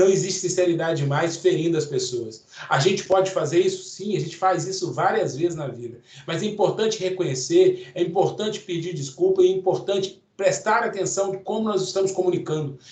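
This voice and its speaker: A man with a high voice speaks loudly at a fairly quick pace, his tone intense and his pitch variation ordinary. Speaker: course instructor. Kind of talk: lecture. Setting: online event.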